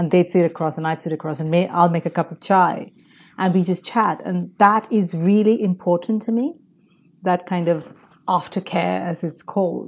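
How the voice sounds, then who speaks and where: This woman has a plain, everyday voice, pitched fairly low with fairly even intonation. She speaks at a moderate pace against a quiet background. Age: 40s. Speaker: podcaster, former advertising professional. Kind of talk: interview.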